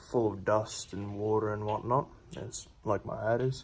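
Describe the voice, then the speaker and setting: With fairly even intonation, the voice comes across somewhat breathy. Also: man. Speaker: car modding vlogger. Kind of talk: tutorial. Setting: voiceover. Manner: monotone; casual, hesitant with fillers.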